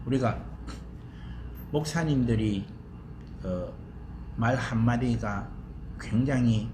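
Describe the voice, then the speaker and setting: A man speaks very slowly, with audible room echo and noticeable background noise around him. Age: 70s. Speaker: seminary professor. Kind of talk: lecture. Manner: casual, chatty.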